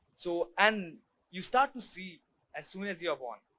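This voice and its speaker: A man with an Indian accent speaks at a moderate pace in a high pitch, his tone bright and sharp. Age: young. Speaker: photographer. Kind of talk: talk to an audience. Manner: halting.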